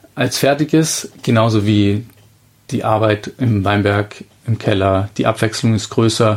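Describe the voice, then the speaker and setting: Fairly low in pitch and fairly even in intonation, this man has an unremarkable speaking voice. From Bavarian Lake Constance shore, Germany. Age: 30s. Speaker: winemaker. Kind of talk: interview.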